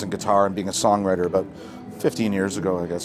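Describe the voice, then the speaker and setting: Noticeable background noise sits behind a man with a Canadian accent, fairly low pitch and fairly even intonation. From Hamilton, Ontario, Canada. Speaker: singer-songwriter. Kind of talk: interview. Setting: festival tent. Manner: casual, relaxed.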